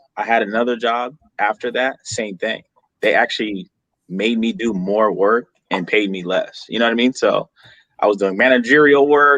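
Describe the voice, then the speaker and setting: A man with an unremarkable speaking voice talks at a medium pitch. His pace is fairly quick and his pitch variation ordinary. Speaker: barber. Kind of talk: casual chat.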